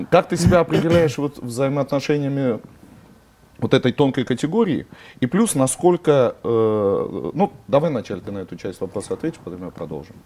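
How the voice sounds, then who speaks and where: At a moderate pace, a man with a medium-pitched, dark, mellow voice makes very wide pitch swings and big swings in loudness. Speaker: interviewer. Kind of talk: friendly interview.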